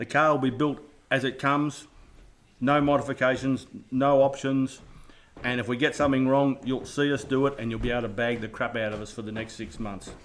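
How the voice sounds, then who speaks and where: A man with an Australian accent, at a fairly quick pace with fairly even intonation. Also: medium pitch for a man. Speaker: radio control hobbyist. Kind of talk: live stream build intro. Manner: casual, jokey.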